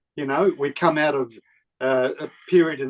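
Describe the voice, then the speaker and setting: With an Australian accent, a man speaks at a moderate pace and a fairly high pitch, his intonation fairly even and the sound dry and close with no echo. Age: 70s. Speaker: film director. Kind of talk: interview.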